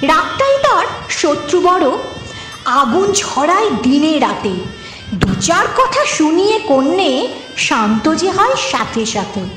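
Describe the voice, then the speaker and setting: Over background music, the pitch swings very widely while the loudness stays very even. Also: woman, extremely high pitch for a woman. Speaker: reciter. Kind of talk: poetry reading.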